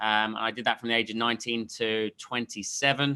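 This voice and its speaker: Speaking in an English accent, a man with a bright, sharp tone and medium pitch keeps his intonation fairly even at a fairly quick pace. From England, Leicester. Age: 30s. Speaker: sales coach. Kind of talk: interview. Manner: halting, many fillers.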